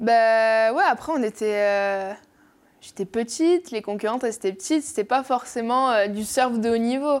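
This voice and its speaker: A woman's fairly high voice with a slight southwestern French accent, moderate in pace with ordinary pitch variation, in a very clean recording with a silent background. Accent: slight south-west French. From French Basque coast (Bayonne). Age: young. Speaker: professional surfer. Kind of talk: casual interview.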